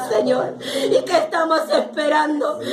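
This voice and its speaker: A woman's high-pitched voice amid noticeable background noise and audible room echo. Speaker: lay preacher. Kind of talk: sermon. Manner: fervent, emphatic.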